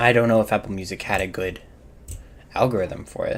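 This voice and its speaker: This man has a fairly low pitch. His intonation is fairly even. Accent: American. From US South. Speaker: gaming streamer. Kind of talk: casual live-stream chat. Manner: casual, frequent fillers and restarts.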